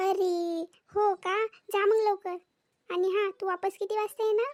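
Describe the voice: A woman's cartoonish character voice, squeaky and extremely high-pitched, at a fairly slow pace with monotone, flat intonation and very even loudness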